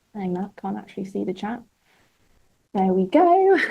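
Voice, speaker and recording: A woman with a British accent talks at a medium pitch. Her pace is moderate. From Britain. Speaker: webinar host. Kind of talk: live webinar chat. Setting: studio. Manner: animated.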